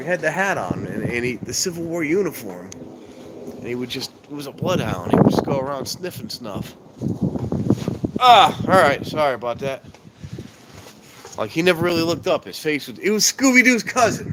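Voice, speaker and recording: Over noticeable background noise, a man with a fairly high pitch speaks with very wide pitch swings, big swings in loudness, and long, frequent pauses. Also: moderate pace. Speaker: live streamer, train watcher. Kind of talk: casual live stream chat. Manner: rambling, casual, halting.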